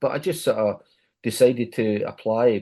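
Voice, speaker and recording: Against a quiet background, a man speaks at a medium pitch with a dark, mellow tone. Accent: Glaswegian. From Scotland, Glasgow. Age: 70s. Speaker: music journalist and radio DJ. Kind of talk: podcast interview. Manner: repetitive, self-correcting.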